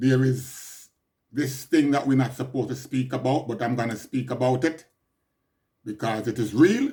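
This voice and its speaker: With a Jamaican accent, a man speaks at a moderate pace in a dark, mellow, somewhat breathy tone with fairly even intonation. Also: medium pitch for a man. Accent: Jamaican English with patois features. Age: 60s. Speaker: podcaster. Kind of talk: personal monologue update.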